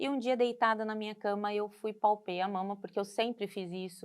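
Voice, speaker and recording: A woman talks at a moderate pace, her pitch varying in an ordinary way. Her recording is very clean, and the background is silent. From Manaus, Brazil; long years in São Paulo interior. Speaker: cardiologist, breast cancer survivor. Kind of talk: personal testimony in interview.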